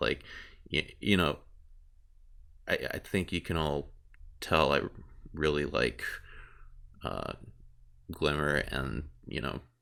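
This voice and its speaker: A man's very deep, low voice with vocal fry, very slow pace, fairly even intonation and long, frequent pauses, in a very clean recording with a silent background. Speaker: video creator. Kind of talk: casual podcast talk. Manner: rambling, casual, hesitant.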